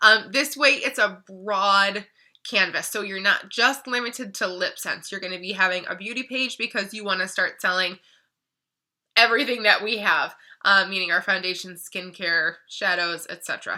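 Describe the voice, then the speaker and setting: Her voice medium-pitched with a bright, sharp tone, a woman shows ordinary pitch variation and big swings in loudness in a very clean recording with a silent background. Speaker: beauty product distributor. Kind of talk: tutorial. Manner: fast.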